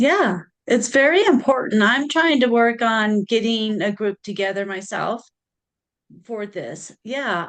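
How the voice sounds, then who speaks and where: Over a quiet background, a woman with a normal speaking voice talks at a fairly slow pace, her pitch fairly high and her intonation lively. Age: 50s. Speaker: podcast host and psychic reader. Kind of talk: interview.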